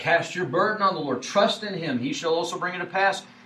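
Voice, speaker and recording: A man speaks in a high pitch for a man, with audible room echo and noticeable background noise. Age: 40s. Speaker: preacher. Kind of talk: sermon.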